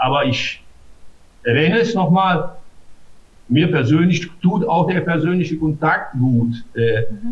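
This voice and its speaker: A man speaks in a somewhat breathy voice. His pitch varies in an ordinary way. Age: 60s. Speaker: mayor. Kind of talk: interview. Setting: video call. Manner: hesitant, many filler sounds.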